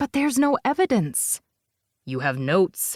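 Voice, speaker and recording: Doing a put-on character voice, a man speaks at a moderate pace in a high pitch with very wide pitch swings. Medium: read story. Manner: firm, insistent.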